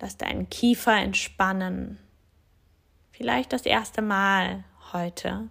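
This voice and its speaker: Calm and soothing in tone, a woman speaks at a very slow pace. Her speech has long, frequent pauses. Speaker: yoga teacher and physiotherapist. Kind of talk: guided meditation. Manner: slow, soft, calm and soothing with long pauses; gentle, inviting, addressing listener as du.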